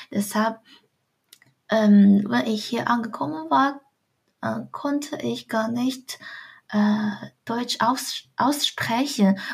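With a Chinese accent, this somewhat breathy speaker talks at a very slow pace, leaving long, frequent pauses, and the pitch varies in an ordinary way. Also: woman, fairly high pitch for a woman. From China, Shandong province. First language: Chinese (speaking German). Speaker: student. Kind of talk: interview. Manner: halting.

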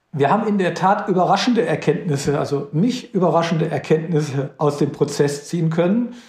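A man at a high pitch and fairly quick pace, with ordinary pitch variation, hardly any pauses, very even loudness and noticeable background noise. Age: 50s. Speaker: company CEO. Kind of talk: interview.

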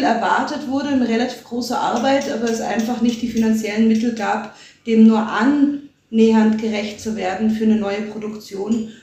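A fairly high-pitched woman talks at a moderate pace in a monotone, flat way. Noticeable background noise is present. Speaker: media and performance artist. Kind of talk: interview.

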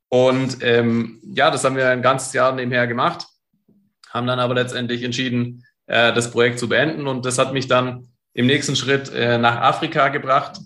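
Audible room echo surrounds a man of medium pitch speaking at a moderate pace in a bright, sharp tone with monotone, flat intonation. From Stuttgart, southwest Germany. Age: 30s. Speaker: entrepreneur and coach. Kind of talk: interview.

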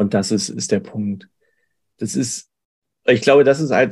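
A man talks fairly slowly, and his pitch varies in an ordinary way. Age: 40s. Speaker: payroll clerk, coaching client. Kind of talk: testimonial interview. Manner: hesitant, many fillers.

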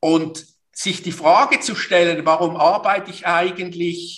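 Pitched high for a man, his voice moves at a fairly slow pace. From Switzerland, Basel. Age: 50s. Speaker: business consultant and coach. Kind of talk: interview. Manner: hesitant, many fillers and repetitions.

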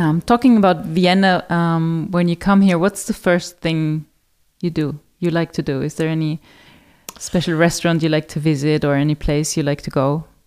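Speaking with a German accent, a woman keeps a fairly low pitch and fairly even intonation. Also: moderate pace. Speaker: podcast host, hotel marketing. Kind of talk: interview.

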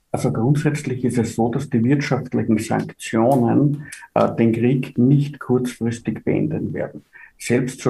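A man's medium-pitched voice, dark and mellow in tone with vocal fry, fairly even in intonation, at a very slow pace. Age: 50s. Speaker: finance executive. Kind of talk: interview.

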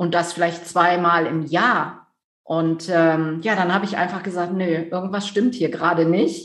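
There is audible room echo as a woman with a fairly low voice speaks at a fairly slow pace. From Rhineland, near Düsseldorf, Germany. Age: 50s. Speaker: business coach. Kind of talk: interview.

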